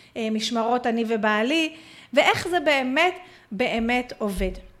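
At a fairly slow pace, a woman speaks in an animated tone at a high pitch with ordinary pitch variation. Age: 40s. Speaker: Facebook marketing coach. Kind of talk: online webinar lesson.

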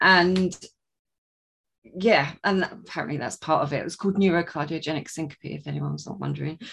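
A woman speaks at a fairly quick pace with a southern English accent. Her loudness swings widely. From southern England. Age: 30s. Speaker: author and coach. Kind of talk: casual interview, testimony.

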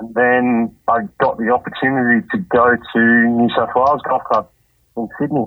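A man talks at a moderate pace with an Australian accent. His intonation stays fairly even. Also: medium pitch for a man. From Australia, Campbelltown NSW. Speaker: greenkeeper. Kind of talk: casual interview. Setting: phone call.

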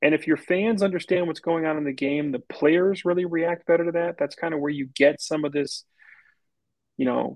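An unremarkable speaking voice moves at a fairly quick pace with fairly even intonation against a quiet background. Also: man, dry, close sound with no echo. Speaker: business development professional and wine enthusiast. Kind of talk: casual interview chat.

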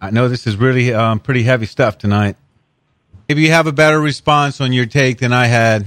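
A man talks at a fairly quick pace in a normal speaking voice. His pitch is medium, with ordinary pitch variation. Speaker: radio co-host. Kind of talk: talk radio co-host.

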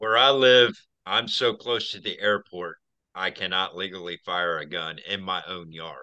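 With an American accent, the speaker goes at a fairly slow pace with ordinary pitch variation. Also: man, very deep, low pitch for a man. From Central Florida. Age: 40s. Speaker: podcast guest. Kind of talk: casual chat.

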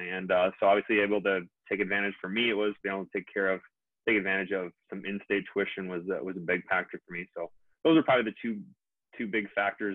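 At a very fast pace, a man talks in a fairly low voice. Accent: American. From Minnesota. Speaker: dentist. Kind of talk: interview.

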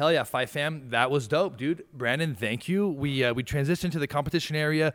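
An ordinary speaking voice with ordinary pitch variation moves at a fairly quick pace with hardly any pauses on a very clean recording with a silent background. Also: man. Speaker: podcast host. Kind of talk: casual podcast interview. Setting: studio.

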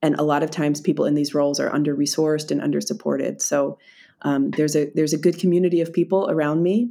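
A woman with a Philadelphia accent talks at a very fast pace in a very deep, low pitch, her dark, mellow tone held at very even loudness with fairly even intonation, in a very clean recording with a silent background. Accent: American (Philadelphia). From US, Philadelphia. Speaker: DEI expert and author. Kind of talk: interview. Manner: halting, repeats words.

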